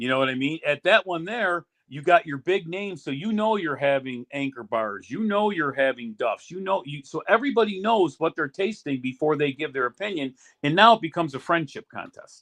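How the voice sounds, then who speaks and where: An animated, fairly quick American man with a fairly high pitch and an American accent. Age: 60s. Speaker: sauce business owner, retired union official. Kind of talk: interview on a podcast. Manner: animated, repetitive restarts.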